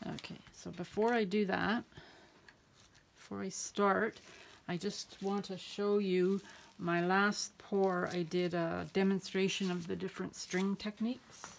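A woman speaks quietly at a fairly slow pace, her intonation flat and monotone. Light background noise can be heard. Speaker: acrylic pouring artist. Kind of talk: tutorial. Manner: quiet, talks to herself; halting, repeats words.

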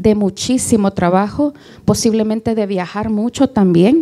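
At a fairly slow pace, a woman with a dark, mellow tone and ordinary pitch variation speaks over a quiet background. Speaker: interviewer, event moderator. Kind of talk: interview. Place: stage. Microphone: handheld.

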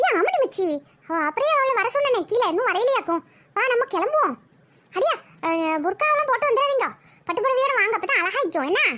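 The pace here is moderate. The voice is a cartoonish character one. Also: woman, extremely high pitch for a woman.

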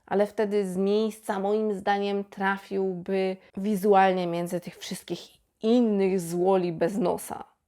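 A woman with a dark, mellow tone speaks at a fairly slow pace. The recording is very clean, with a silent background. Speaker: YouTube film reviewer. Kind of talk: film review monologue.

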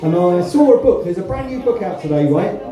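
Talking at a very fast pace with a Suffolk accent, a man is heard over light background noise and audible room echo. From East Anglia, Suffolk (Ipswich). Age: 50s. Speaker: stand-up comedian. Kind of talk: stand-up. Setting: stage with audience. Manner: animated. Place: stage.

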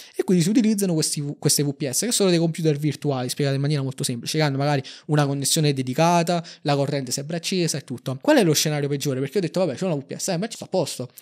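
A man at a very fast pace, fairly high in pitch with ordinary pitch variation, over a quiet background. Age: 20s. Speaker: algorithmic trader; guest. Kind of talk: interview. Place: studio. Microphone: studio mic.

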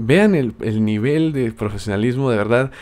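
A man at medium pitch in a South American accent, at a fairly slow pace with ordinary pitch variation. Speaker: gaming youtuber and podcast host. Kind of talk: casual podcast monologue.

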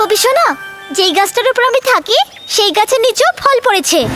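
An extremely high-pitched cartoonish character voice speaks at a moderate pace over clear background music. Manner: friendly, encouraging.

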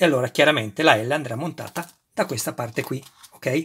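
Animated and bright, sharp in tone, a man speaks at a moderate pace with a fairly high pitch and ordinary pitch variation. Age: 50s. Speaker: YouTuber model kit reviewer. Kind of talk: unboxing tutorial. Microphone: phone near.

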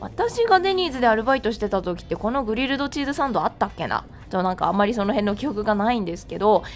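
Over noticeable background noise, a woman with a fairly high pitch speaks at a very fast pace with very wide pitch swings. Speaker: freelance announcer. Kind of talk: food vlog narration.

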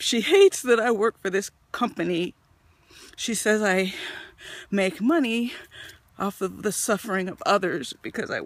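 With long, frequent pauses, a woman speaks at a moderate pace and ordinary pitch variation, in a dry sound with no echo. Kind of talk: confessional selfie monologue. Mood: low, worried, confiding. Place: forest. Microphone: phone near.

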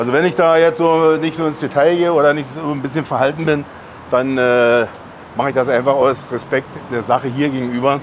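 A man speaks in a normal speaking voice, fairly high in pitch and fairly quick. His intonation is fairly even, with light background noise behind him. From Berlin. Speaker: professional bodybuilder and channel host; channel host. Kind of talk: casual chat. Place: street.

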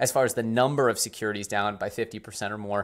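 With a quiet background, a man speaks at a fairly quick pace. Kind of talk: commentary. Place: home room.

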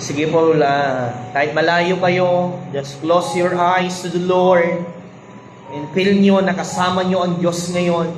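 Over noticeable background noise, a man speaks at a very slow pace in a high pitch with monotone, flat intonation. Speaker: church Bible study leader praying. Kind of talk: fervent intercessory prayer over a livestream, declaring healing and blessing. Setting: online livestream after a Bible study. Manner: fervent, pleading, repeating 'I declare' in rising, emphatic bursts; code-switching between Tagalog and English, some stumbling repetition.

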